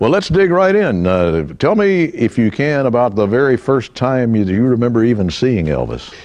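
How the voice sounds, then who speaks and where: At a moderate pace and with hardly any pauses, a man of medium pitch talks with very wide pitch swings and very even loudness over noticeable background noise. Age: 70s. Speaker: radio announcer, voiceover artist. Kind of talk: interview questions.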